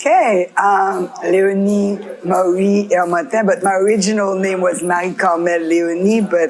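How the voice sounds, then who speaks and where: Music plays behind a woman whose medium-pitched voice shows ordinary pitch variation. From Haiti, Pétionville. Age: 60s. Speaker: community leader. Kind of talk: interview testimony.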